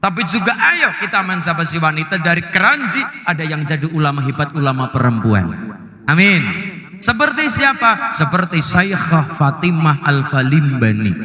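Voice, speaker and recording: At a moderate pace, a man speaks at a fairly high pitch with lively intonation over noticeable background noise. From Central Java, Banyumasan. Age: 20s. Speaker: Islamic preacher. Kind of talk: religious sermon to live audience.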